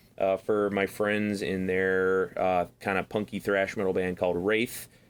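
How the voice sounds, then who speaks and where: A man with a Midwestern accent speaks in a very deep, low pitch, with monotone, flat intonation and very even loudness, in a very clean recording with a silent background. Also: fairly slow pace. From US Midwest. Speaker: podcast co-host and metal guitarist. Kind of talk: casual chat. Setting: new recording studio.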